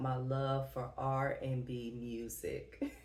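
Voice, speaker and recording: This woman has a very deep, low pitch and speaks with a Southern US accent. Audible room echo surrounds her voice. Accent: Southern twang. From US Midwest, Dayton, Ohio. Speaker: plant YouTuber. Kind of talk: casual Q&A vlog.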